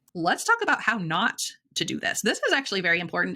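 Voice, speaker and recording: A woman talks at a very fast pace with a bright, sharp tone. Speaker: software tutorial creator. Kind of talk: tutorial. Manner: halting, many ums.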